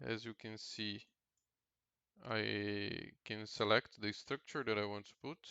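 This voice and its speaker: A man with a Portuguese accent. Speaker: indie game developer. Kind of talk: tutorial. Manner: halting.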